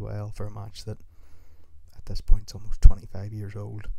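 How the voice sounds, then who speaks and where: A man is speaking in a Northern Irish accent. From Northern Ireland. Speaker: wrestling podcaster. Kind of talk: solo podcast commentary.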